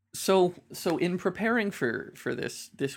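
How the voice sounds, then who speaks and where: There is vocal fry in this man's voice, and the recording is very clean with total silence behind him. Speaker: podcast co-host. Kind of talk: casual chat.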